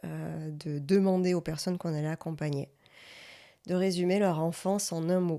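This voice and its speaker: In a dark, mellow tone, a woman talks at a moderate pace with monotone, flat intonation. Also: very clean recording, silent background. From Provence, Marseille area. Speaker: podcast co-host, coach. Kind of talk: interview.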